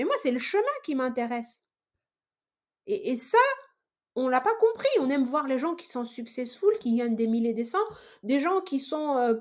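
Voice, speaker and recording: Loud and high-pitched, a woman talks in an animated tone with very wide pitch swings. Her pace is fairly slow, with long, frequent pauses. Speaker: sales professional and entrepreneur. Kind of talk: podcast interview. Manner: loud, animated; halting, many fillers and repetitions.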